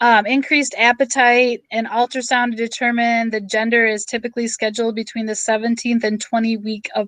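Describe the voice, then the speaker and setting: A woman with an unremarkable speaking voice and fairly high pitch talks at a fairly quick pace with hardly any pauses and fairly even intonation. The sound is dry and close with no echo over a quiet background. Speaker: teacher. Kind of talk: lecture.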